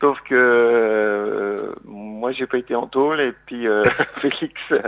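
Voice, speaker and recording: The man's medium-pitched voice keeps a fairly even intonation. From Lorraine, eastern France. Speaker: singer-songwriter and comedian. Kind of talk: radio interview. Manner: hesitant, many fillers.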